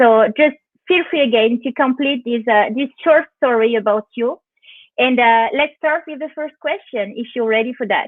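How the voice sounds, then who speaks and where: A woman talks at a moderate pace with a high pitch. The pitch shows ordinary variation. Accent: French. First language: French. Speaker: interviewer. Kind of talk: live interview. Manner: halting.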